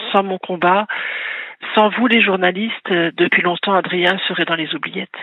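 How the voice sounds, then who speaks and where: Over noticeable background noise, a woman talks at a moderate pace with medium pitch and fairly even intonation. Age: 60s. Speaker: caller, bereaved mother and author. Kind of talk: radio call-in testimony. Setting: phone call to radio.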